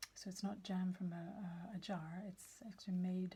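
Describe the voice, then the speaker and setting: A soft-spoken woman talks at a very slow pace in a medium pitch, her tone dark, mellow and somewhat breathy. Her intonation stays fairly even. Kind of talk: ASMR page-turning show and tell.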